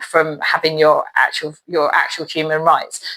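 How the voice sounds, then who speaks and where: A woman is speaking. Her tone is bright and sharp. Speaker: neurodivergent support coach. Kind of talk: advice monologue to camera. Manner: stutters at times; halting, many fillers.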